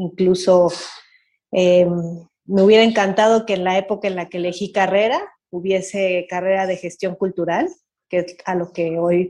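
This woman's voice sits at a medium pitch with a dark, mellow tone. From Mexico City. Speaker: dance teacher and cultural manager. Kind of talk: interview.

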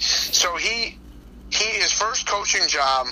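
A man's voice over noticeable background noise. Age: 40s. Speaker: football coach. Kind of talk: casual interview. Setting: phone call.

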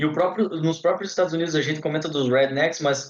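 A man speaks in a normal speaking voice with a fairly high pitch and ordinary pitch variation. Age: 20s. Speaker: podcast host, medical student. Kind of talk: casual interview.

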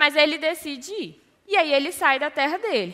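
Raising and projecting her voice, a woman speaks with a high pitch and a bright, sharp tone. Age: 20s. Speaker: youth ministry leader. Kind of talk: sermon.

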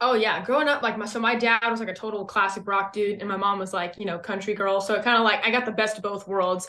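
A woman with an American accent talks at a very fast pace, with hardly any pauses. Her pitch is medium and her intonation fairly even, over noticeable background noise. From US West Coast. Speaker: country rock singer. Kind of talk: casual chat.

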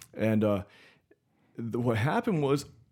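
A man with an American accent and a dark, mellow tone, lively intonation and a fairly quick pace, on a very clean recording with a silent background. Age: 20s. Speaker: podcast guest. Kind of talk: casual chat.

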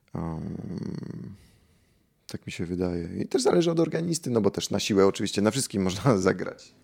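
A man speaks at a moderate pace with a fairly low pitch. His voice makes very wide pitch swings and big swings in loudness. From Poland. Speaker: organist. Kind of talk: interview. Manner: halting, with fillers and repetitions.

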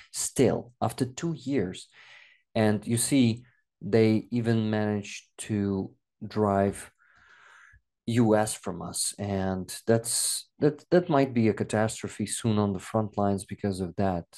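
Over a quiet background, a man with a dark, mellow tone and fairly low pitch speaks at a very slow pace with ordinary pitch variation. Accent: Russian. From Donetsk region, eastern Ukraine. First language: Russian. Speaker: war content creator and translator. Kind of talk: interview.

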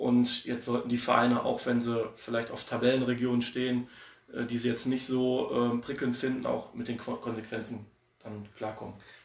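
Amid noticeable background noise, a man speaks at a moderate pace in a medium pitch with monotone, flat intonation. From Oberhausen, Ruhr area, Germany. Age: 30s. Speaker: amateur football assistant coach. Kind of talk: casual interview. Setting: remote call.

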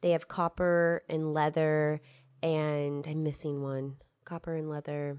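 A woman's very deep, low voice stays monotone and flat, recorded dry and close with no echo. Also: quiet background. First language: English (learning Spanish). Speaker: podcast co-host, language learner. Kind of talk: casual chat.

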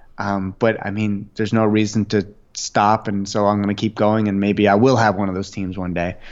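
With a plain, everyday voice, a man speaks at a moderate pace and a fairly low pitch. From Canada, Ottawa. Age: 20s. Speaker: YouTuber and author. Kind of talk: interview conversation.

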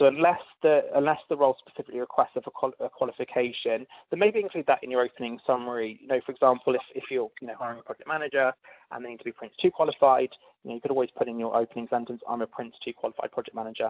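Speaking very fast in a British accent, a man at medium pitch shows big swings in loudness. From UK. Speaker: talent acquisition advisor. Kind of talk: interview Q&A. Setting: phone or video call.

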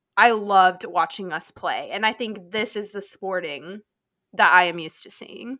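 A woman with an American accent speaks at a moderate pace in a medium pitch and a bright, sharp tone, her pitch varying in an ordinary way. Her loudness swings widely, and the recording is very clean with a silent background. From Nebraska. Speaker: sports podcast co-host. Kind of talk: casual chat.

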